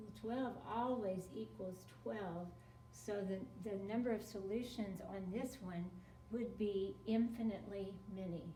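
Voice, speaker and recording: A woman speaks fairly slowly at a medium pitch, with ordinary pitch variation. Noticeable background noise and audible room echo are present. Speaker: math teacher. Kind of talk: tutorial.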